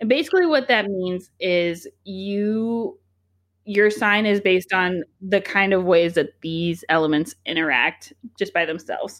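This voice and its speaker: Here a woman uses a normal speaking voice at a medium pitch with ordinary pitch variation. Her pace is fairly slow, on a very clean recording with a silent background. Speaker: podcast host. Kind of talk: casual chat.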